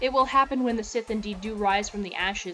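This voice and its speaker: Music plays in the background as a woman speaks at a medium pitch with fairly even intonation. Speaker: religious teacher / preacher of a Sith-themed belief system. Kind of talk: sermon-style reading and commentary on a religious text, addressed to viewers.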